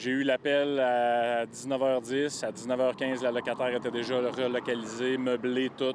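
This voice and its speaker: A man speaks at a medium pitch and a moderate pace, with monotone, flat intonation, very even loudness and hardly any pauses. Noticeable background noise is present. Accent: Quebec. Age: young. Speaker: building owner. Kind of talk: news interview.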